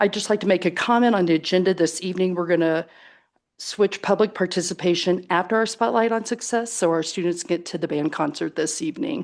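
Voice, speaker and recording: A woman has an ordinary speaking voice at a medium pitch, with ordinary pitch variation. She talks at a fairly quick pace against a quiet background. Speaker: school board president chairing meeting. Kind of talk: formal public meeting.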